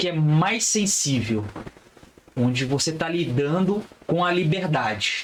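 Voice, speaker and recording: A man at a very slow pace, high-pitched, with ordinary pitch variation over noticeable background noise. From Brazil, Resende (Rio de Janeiro state). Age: 30s. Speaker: criminal lawyer. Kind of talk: podcast interview.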